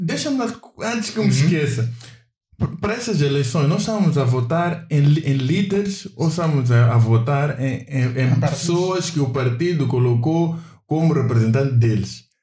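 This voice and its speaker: Audible room echo surrounds a man's somewhat breathy, dark, mellow voice at a fairly high pitch. He speaks at a moderate pace with lively intonation. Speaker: podcast co-host. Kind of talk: casual chat.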